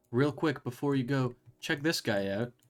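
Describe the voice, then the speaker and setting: Music sounds behind a man whose pitch rises and falls in a normal way. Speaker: game streamer. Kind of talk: casual live stream commentary.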